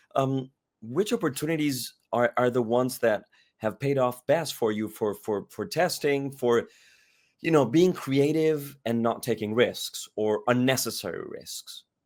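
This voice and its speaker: In a very clean recording with a silent background, a man with a normal speaking voice talks at medium pitch and a fairly slow pace, with ordinary pitch variation. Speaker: podcast host. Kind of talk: interview question.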